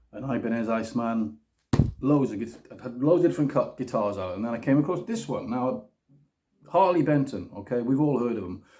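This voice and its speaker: A man with a British accent, at a fairly quick pace, with big swings in loudness. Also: medium pitch for a man, lively intonation. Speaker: guitar demo youtuber. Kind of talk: casual product review. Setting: home kitchen. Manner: fast. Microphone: phone recording.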